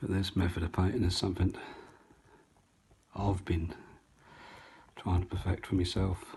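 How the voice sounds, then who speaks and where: A man's very deep, low, somewhat breathy voice with a dark, mellow tone, an East Anglian accent, flat monotone intonation, and long, frequent pauses. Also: moderate pace. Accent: North Essex and South Suffolk. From East Anglia, England (North Essex / South Suffolk). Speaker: painting tutor. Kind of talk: tutorial. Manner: chatty.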